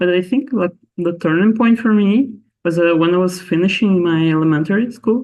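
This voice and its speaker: A man speaks with a Portuguese accent and a high pitch. His loudness stays very even. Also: ordinary pitch variation, moderate pace. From Brazil. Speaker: astronomer. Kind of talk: interview. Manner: halting, many fillers.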